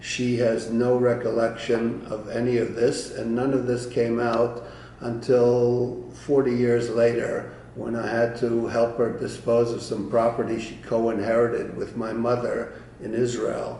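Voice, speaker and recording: Over noticeable background noise and audible room echo, a man speaks at a medium pitch and fairly slow pace in a monotone, flat intonation. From Eastern Europe (Romania/Ukraine). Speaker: Holocaust-era family history storyteller. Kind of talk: personal testimony. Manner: halting with frequent fillers.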